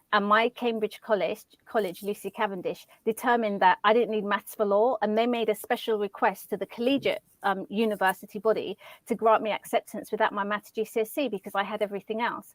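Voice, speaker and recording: A woman with a London accent speaks fairly quickly at a fairly high pitch, her intonation fairly even and the sound dry and close with no echo. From London, Lewisham. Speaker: journalist and communications consultant. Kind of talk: casual interview. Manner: sometimes stumbles over words.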